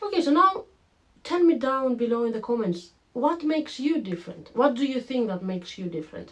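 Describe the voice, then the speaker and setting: Noticeable background noise sits behind a woman's voice. She talks at a fairly quick pace with very wide pitch swings. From Greece. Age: 20s. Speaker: online business vlogger. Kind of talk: casual vlog to camera. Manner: animated.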